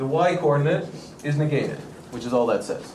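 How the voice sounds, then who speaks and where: Noticeable background noise and audible room echo around a man with ordinary pitch variation. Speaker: math lecturer. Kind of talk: lecture. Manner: fast.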